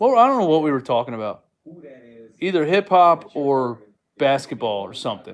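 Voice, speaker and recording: The speech has long, frequent pauses and very wide pitch swings. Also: man, fairly high pitch for a man, moderate pace, big swings in loudness. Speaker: sports streamer. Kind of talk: casual live stream chat. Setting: live stream. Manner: loud.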